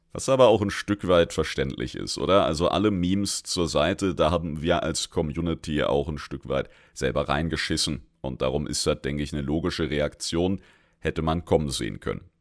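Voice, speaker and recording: Heard in a very clean recording with a silent background, a man with a very deep, low pitch and vocal fry talks at a moderate pace. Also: ordinary pitch variation. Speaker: gaming lore podcaster. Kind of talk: solo lore commentary. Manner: casual, colloquial.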